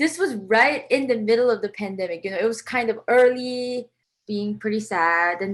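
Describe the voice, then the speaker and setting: A woman with a Korean accent is captured in a very clean recording with a silent background. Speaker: composer. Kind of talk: interview. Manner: casual, many fillers (um, like).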